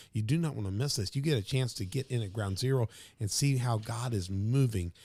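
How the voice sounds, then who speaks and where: The man's voice is somewhat breathy. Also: very clean recording, silent background. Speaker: podcast host and pastor. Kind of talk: podcast intro, casual promo talk. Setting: studio. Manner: animated, casual.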